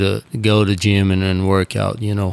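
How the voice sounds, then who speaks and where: A fairly slow delivery with a Brazilian accent. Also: man. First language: Portuguese. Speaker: bullfighter. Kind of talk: casual interview chat. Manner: hesitant, filler-heavy.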